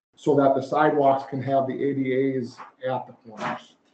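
Moderate pace and little pitch movement, with a slightly mellow tone and audible room echo. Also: man, medium pitch for a man.

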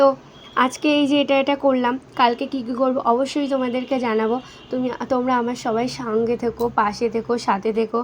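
A woman with a high pitch and monotone, flat intonation, over noticeable background noise. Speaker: vlogger, young mother. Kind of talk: casual vlog narration.

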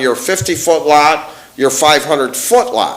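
Pitched fairly high, a man speaks at a moderate pace. Audible room echo and noticeable background noise fill the recording. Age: 60s. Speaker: resident speaking at public comment. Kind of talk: public hearing comment, heated exchange. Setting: township board meeting. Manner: animated, interrupting.

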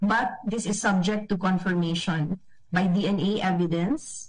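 A woman talks at a very slow pace, somewhat breathy. Her pitch varies in an ordinary way over a quiet background. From Philippines. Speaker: embassy officer. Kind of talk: press briefing. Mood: somber, careful. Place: office. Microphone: video call.

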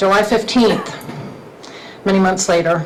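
A woman speaks at a moderate pace with fairly even intonation, audible room echo and noticeable background noise. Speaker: resident speaking at public comment. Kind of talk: public comment. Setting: county council meeting. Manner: loud.

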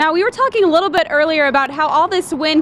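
A woman with an extremely high pitch, dry sound with no echo, light background noise. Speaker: TV news reporter. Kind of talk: live news report. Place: street. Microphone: handheld.

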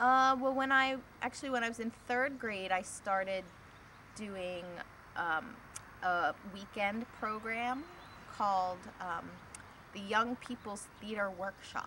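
A woman's bright, sharp tone at a fairly slow pace, with ordinary pitch variation, long, frequent pauses and noticeable background noise. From Pennsylvania, Delaware County (Media, Springfield); Pennsylvania. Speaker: filmmaker; interviewee. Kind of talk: interview. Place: garden. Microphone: camera far.

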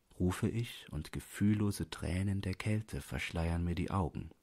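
A man with a low pitch and vocal fry speaks at a fairly slow pace. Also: ordinary pitch variation, slightly mellow tone.

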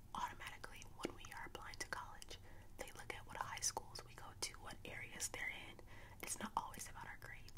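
A soft-spoken woman whispers at a fairly quick pace over noticeable background noise. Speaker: vlogger. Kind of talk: casual vlog chat, opinion talk. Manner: soft whispered talk close to mic. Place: home room. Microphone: studio mic.

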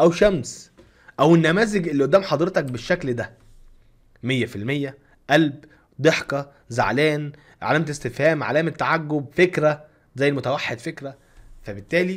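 Against a quiet background, a man talks with ordinary pitch variation and long, frequent pauses. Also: fairly high pitch for a man, moderate pace. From Egypt. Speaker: YouTube content creator. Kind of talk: tutorial. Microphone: studio mic.

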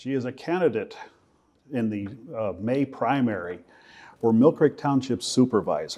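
A man with a dark, mellow tone speaks with lively intonation. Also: medium pitch for a man, moderate pace.

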